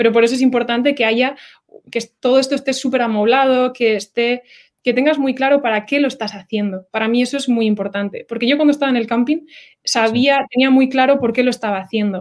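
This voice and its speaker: Very fast speech with fairly even intonation comes through in a very clean recording with a silent background. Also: woman, high pitch for a woman. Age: 20s. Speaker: oceanographer. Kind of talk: interview. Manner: halting.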